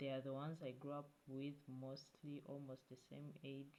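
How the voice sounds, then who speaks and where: Speaking with a non-native accent, this voice carries a dark, mellow tone. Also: woman. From Africa. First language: not English. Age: 20s. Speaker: YouTube vlogger. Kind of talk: casual vlog talk to camera. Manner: halting, with many fillers and restarts.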